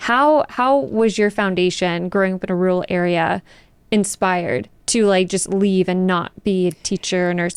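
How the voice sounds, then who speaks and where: Delivered at a moderate pace with an American accent, this is a plain, everyday voice. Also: woman. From Texas, South Dallas. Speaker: podcast host. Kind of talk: scripted intro; casual interview.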